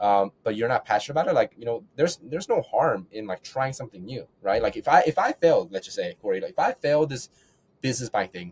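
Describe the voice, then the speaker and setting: Somewhat breathy and making very wide pitch swings, a man talks at a very fast pace in a dry, close sound with no echo. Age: 20s. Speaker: real estate investor. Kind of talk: podcast interview. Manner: halting with repetitions.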